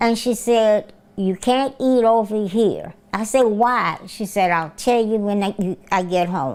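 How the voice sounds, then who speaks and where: A woman speaks very slowly with hardly any pauses, in a Southern US accent. Her pitch is fairly high, with ordinary variation. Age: 70s. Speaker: retired nurse. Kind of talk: interview answer.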